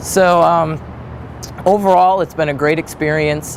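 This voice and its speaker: A man with an American accent speaks at a fairly slow pace and fairly high pitch, with fairly even intonation over noticeable background noise. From Wisconsin, US Midwest (Manitowoc). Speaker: graduate student researcher. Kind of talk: interview monologue. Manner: hesitant, with many fillers.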